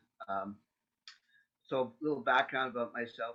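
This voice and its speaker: A man with a Canadian accent speaks at a medium pitch. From Canada. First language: Yiddish. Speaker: interfaith panel speaker, layperson. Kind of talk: personal testimony talk. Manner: halting, many fillers.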